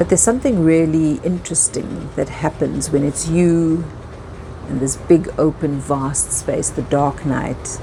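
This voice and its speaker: The speaker talks at a fairly slow pace with ordinary pitch variation. Noticeable background noise is present. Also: woman. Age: 50s. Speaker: yacht stewardess and storyteller. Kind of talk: personal story narration. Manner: reflective.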